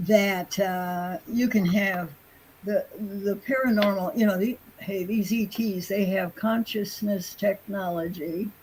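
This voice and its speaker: A somewhat breathy woman speaks very slowly at a medium pitch, with ordinary pitch variation. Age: 80s+. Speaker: UFO investigator. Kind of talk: interview answer.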